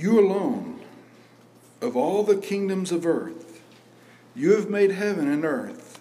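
This man speaks very slowly in a high voice. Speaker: pastor. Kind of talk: sermon; fervent prayer. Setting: church. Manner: earnest, pleading; conversational, with repetition and fillers.

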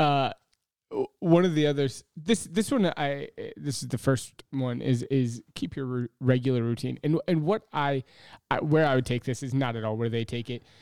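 A man speaks at a moderate pace in a plain, everyday voice, with ordinary pitch variation and a dry, close sound that has no echo. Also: medium pitch for a man. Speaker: podcast co-host, pastor. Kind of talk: casual chat.

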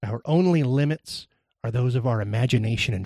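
Recorded with a dry, close sound with no echo, a medium-pitched man speaks at a moderate pace with lively intonation. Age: 30s. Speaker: podcast guest host sharing mental illness story. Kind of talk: reading a personal essay aloud. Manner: loud; shaky.

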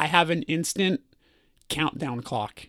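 With a Californian accent, a man speaks in a bright, sharp tone, and the sound is dry and close with no echo. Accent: Californian American. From Burbank, California. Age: 30s. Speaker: musician. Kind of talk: casual chat. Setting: on tour in Chicago.

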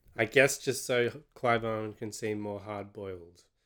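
The voice has an Australian accent. It belongs to a man. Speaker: film podcast co-host. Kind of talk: casual chat.

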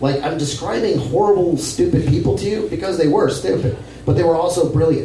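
With noticeable background noise and audible room echo, a man speaks at a fairly quick pace. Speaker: comedian. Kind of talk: storytelling performance. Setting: stage with audience.

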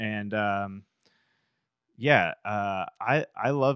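An ordinary speaking voice with an American accent and ordinary pitch variation comes through dry and close with no echo, against a quiet background. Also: man. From Massachusetts. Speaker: podcast host. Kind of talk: casual chat. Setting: studio.

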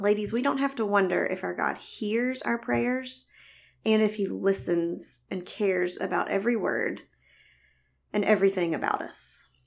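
A woman in a Southern US accent speaks at a moderate pace and medium pitch, her intonation lively, in a very clean recording with a silent background. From US South. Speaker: Bible teacher, physical therapist. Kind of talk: Bible teaching talk. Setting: recorded audio teaching.

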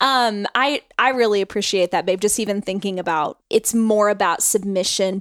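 A woman speaks at a moderate pace in an unremarkable speaking voice, her pitch medium and her intonation fairly even. The sound is dry and close, with no echo. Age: 30s. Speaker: podcast host. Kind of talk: casual chat.

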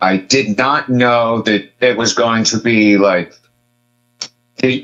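This is an unremarkable speaking voice. Its pitch varies in an ordinary way. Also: man. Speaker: guest, Star Wars fan. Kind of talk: casual chat about a TV series.

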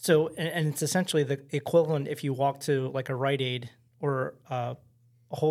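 At a moderate pace, a man speaks in a normal speaking voice with a fairly high pitch and fairly even intonation. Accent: American. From Baltimore, Maryland. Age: 40s. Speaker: bartender. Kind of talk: casual chat.

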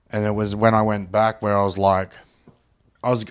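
The voice belongs to a man with an Australian accent. It is pitched fairly low. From Brisbane, Australia. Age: 30s. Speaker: comedian. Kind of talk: casual chat. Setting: at the host's home.

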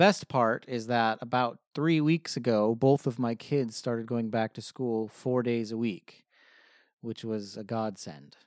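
On a very clean, dry, close recording with a silent background and no echo, a man with an American accent and an ordinary speaking voice talks at a fairly slow pace and medium pitch, with ordinary pitch variation and big swings in loudness. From Southern California, Riverside County. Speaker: music professor. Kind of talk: interview.

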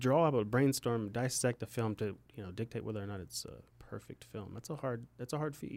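A man speaks in a medium pitch. He has an ordinary speaking voice. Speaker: podcast co-host. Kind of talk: casual chat.

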